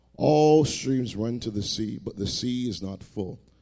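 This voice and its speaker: Warm in tone, this man's dark, mellow voice sits at medium pitch with lively intonation. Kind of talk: sermon. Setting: church. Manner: warm, conversational preacher.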